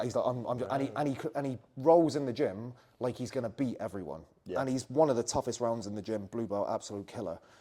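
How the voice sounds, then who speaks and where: A man's dark, mellow tone at medium pitch, very fast pace, ordinary pitch variation and a West Country accent. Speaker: jiu-jitsu coach. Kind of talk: interview answer.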